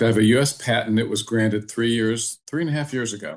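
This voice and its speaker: Against a quiet background, a man with an unremarkable speaking voice talks at a moderate pace and a medium pitch. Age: 60s. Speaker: entrepreneur and programmer. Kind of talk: podcast interview.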